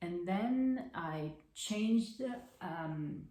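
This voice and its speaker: Audible room echo surrounds a woman with an Italian accent whose pitch varies in an ordinary way. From central Italy. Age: 20s. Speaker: crafting podcaster. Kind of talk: casual monologue. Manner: halting, many fillers.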